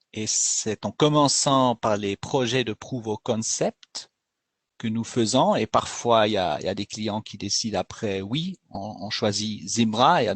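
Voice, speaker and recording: A man's fairly low voice with a Swiss German accent, ordinary pitch variation and a fairly slow pace. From Switzerland, Bern region (German-speaking). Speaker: company executive presenting a webinar. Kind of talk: webinar presentation. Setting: online webinar. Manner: halting, with frequent hesitations.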